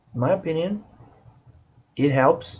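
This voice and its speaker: A somewhat breathy man's voice with a dark, mellow tone, lively intonation and a non-native accent. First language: not English. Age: 20s. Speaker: vlogger. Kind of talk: casual monologue to camera. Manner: halting, with restarts and fillers.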